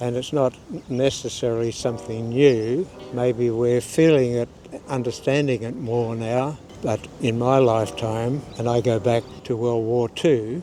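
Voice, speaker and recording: A man's medium-pitched voice, fairly slow and fairly even in intonation, over noticeable background noise. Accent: Australian. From Australia. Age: 80s+. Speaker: interviewee. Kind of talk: interview.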